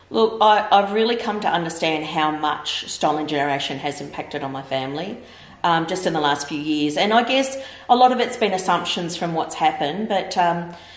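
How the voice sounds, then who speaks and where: Amid audible room echo, a woman with a fairly low pitch talks at a fairly quick pace. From Victoria, Australia. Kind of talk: interview answer. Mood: earnest, reflective. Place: home room.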